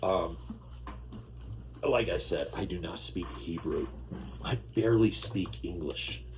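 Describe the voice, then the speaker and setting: A man with an American accent at a very slow pace, with long, frequent pauses, audible room echo and music in the background. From New York. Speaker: Bible reading channel host. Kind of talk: casual chat. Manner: animated. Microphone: sound problems.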